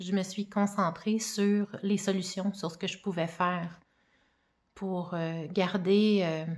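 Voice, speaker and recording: In a very clean recording with a silent background, a woman speaks at a medium pitch. Her pace is very slow and her intonation monotone and flat. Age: 40s. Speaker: mother giving personal testimony. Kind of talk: testimony.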